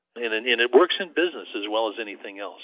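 The speaker is a man. He talks at a fairly quick pace. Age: 60s. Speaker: intuition coach and author. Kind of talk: interview.

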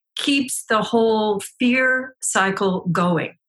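A woman with a bright, sharp tone speaks at a fairly high pitch with fairly even intonation. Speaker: body intelligence teacher and couples coach. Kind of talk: interview.

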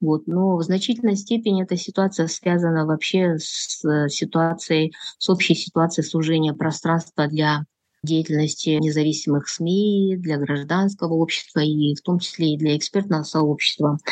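A woman's fairly low voice, moderate in pace, with fairly even intonation. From Kyrgyzstan. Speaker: political analyst. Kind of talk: interview. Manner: hesitant with many fillers.

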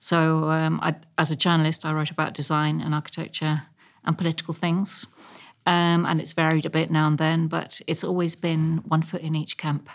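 A woman with a southern English accent, very deep and low-pitched, monotone and flat, on a very clean recording with a silent background. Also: moderate pace. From London (Chelsea and Ealing). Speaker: architectural historian and local councillor. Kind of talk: interview.

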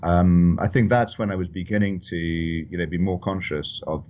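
Speaking with a Scottish accent, a man has a very deep, low pitch. His pace is moderate and his intonation fairly even. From Scotland, Edinburgh. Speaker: financial journalist and author. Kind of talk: interview.

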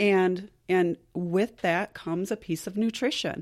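This woman has an ordinary speaking voice, medium in pitch, with fairly even intonation. The recording is very clean and dry, with a silent background and close sound with no echo. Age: 40s. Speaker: massage therapist and wellness school owner. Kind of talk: casual interview.

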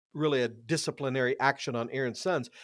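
A man is heard at a moderate pace. The recording is very clean with a silent background and a dry, close sound with no echo. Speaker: pastor and former radio fill-in host. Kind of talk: interview on Bible teaching.

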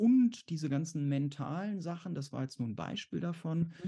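With a dark, mellow tone and fairly high pitch, a man talks at a moderate pace with lively intonation. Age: 40s. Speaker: exam anxiety coach and therapist. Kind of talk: interview. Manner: halting.

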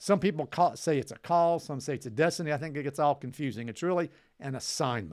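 On a very clean recording with a silent background, a man speaks at a very fast pace in an animated tone. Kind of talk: teaching. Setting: studio video recording.

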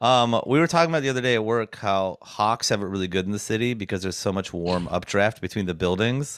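Talking at a very fast pace with hardly any pauses, a man with an American accent is heard in a very clean recording with a silent background. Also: fairly low pitch for a man, ordinary pitch variation. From rural snowy US farmland. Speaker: podcast co-host and tradesman. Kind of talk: casual chat. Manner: laughs often.

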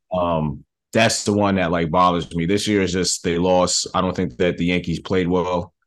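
Against a quiet background, a man with an American accent speaks in a very deep, low voice, flat and monotone, with very even loudness. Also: moderate pace. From New York, the Bronx. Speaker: film director. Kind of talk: interview.

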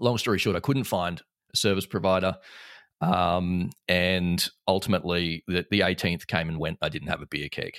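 Very clean and silent in the background, this recording features a man with a very deep, low pitch. He speaks at a moderate pace with fairly even intonation. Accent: Australian. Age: 30s. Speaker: entrepreneur and business owner. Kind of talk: casual interview chat.

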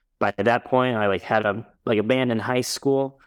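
A man with a normal speaking voice and fairly even intonation at a moderate pace, on a very clean recording with a silent background. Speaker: guitarist in band. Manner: casual, filler-heavy.

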